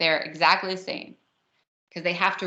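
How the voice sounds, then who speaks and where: With a New Jersey accent, a woman speaks in a bright, sharp tone and fairly even intonation against a quiet background. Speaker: math teacher. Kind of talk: lecture.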